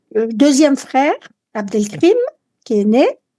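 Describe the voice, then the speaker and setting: A woman speaks with a dark, mellow tone at a fairly slow pace. Her intonation is lively. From France, Lyon, with adolescence in Algeria. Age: 70s. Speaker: interviewee sharing life story. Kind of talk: personal testimony. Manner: hesitant, many fillers.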